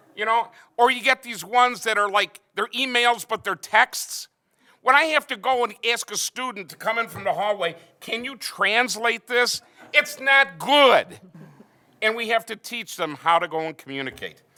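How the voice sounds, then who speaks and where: A man's raised, projected voice at an extremely high pitch, bright and sharp in tone, at a moderate pace with ordinary pitch variation. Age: 60s. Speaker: math teacher. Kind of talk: panel discussion. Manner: animated.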